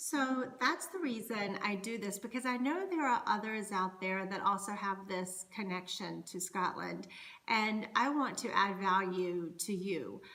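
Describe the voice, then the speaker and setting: In a North Carolina accent, a woman with a bright, sharp tone talks at a fairly slow pace with ordinary pitch variation, and audible room echo surrounds her. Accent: Southern US (North Carolina). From US South, North Carolina. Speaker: Scottish dance performer and culture educator. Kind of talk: educational monologue. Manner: conversational.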